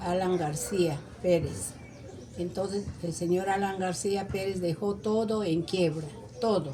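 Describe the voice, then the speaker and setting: Audible room echo surrounds a woman speaking at a very slow pace. Her pitch is medium, with ordinary variation. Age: 70s. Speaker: interviewee, neighbor. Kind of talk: interview.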